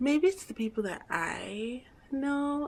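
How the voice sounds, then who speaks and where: A woman whispering. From Guyana. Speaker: vlogger. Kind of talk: casual vlog monologue. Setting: at home.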